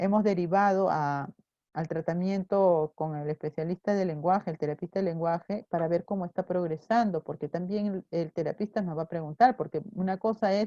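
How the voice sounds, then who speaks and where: A woman speaks at a medium pitch and a moderate pace, with a dark, mellow tone and ordinary pitch variation. The sound is dry and close with no echo, over a quiet background. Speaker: teacher. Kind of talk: online class lecture. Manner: soft-spoken.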